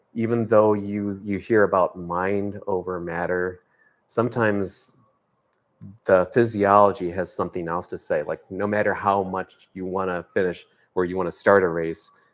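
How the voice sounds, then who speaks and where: On a very clean recording with a silent background, a man speaks in a fairly low, monotone voice with flat intonation. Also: moderate pace. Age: 60s. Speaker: triathlete and swim support volunteer. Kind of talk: interview. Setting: live video stream. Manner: halting, many fillers.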